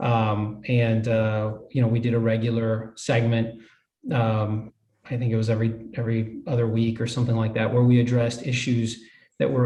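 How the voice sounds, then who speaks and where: At a fairly quick pace, a man with a dark, mellow, somewhat breathy tone and medium pitch speaks in flat, monotone intonation at very even loudness, with audible room echo. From US, Hialeah, Florida (Cuban-American). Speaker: judge. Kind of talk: interview.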